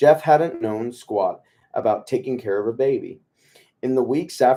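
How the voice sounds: The background is quiet behind this natural reading voice.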